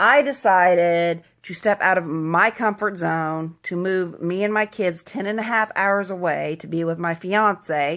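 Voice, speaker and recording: With an American accent and a plain, everyday voice, a woman of medium pitch talks at a fairly slow pace with ordinary pitch variation and hardly any pauses. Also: very clean recording, silent background. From US Midwest, Southeast Kansas. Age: 20s. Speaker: vlogger. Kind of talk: motivational monologue. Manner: casual, conversational.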